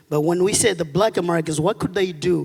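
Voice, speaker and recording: A man's high-pitched voice with a Malawian accent and ordinary pitch variation. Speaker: audience member asking a question. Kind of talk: audience question at a lecture. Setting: auditorium with audience.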